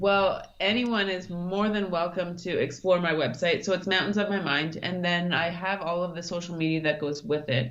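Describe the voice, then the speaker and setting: With a plain, everyday voice, a woman talks at a moderate pace and fairly low pitch, showing ordinary pitch variation and hardly any pauses. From Canada, Thunder Bay, Ontario. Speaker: mountaineer and brain injury survivor. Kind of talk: interview.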